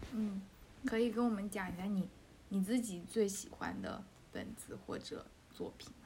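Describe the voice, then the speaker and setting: This woman's voice sits at a medium pitch, with fairly even intonation and big swings in loudness at a moderate pace. Long, frequent pauses break it up, and there is audible room echo and noticeable background noise. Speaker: podcast host. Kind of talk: casual chat.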